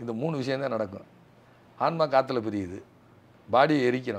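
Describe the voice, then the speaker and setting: A man at a medium pitch with ordinary pitch variation, a normal speaking voice. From southern Tamil Nadu. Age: 50s. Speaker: guest. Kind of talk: interview. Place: home room. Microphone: lapel.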